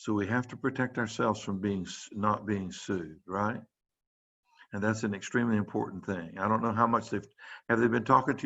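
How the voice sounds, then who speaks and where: A normal speaking voice from a man with an American accent, fairly low in pitch, with ordinary pitch variation and a fairly quick pace. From US South. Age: 60s. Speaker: pediatrician. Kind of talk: lecture. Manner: casual, conversational.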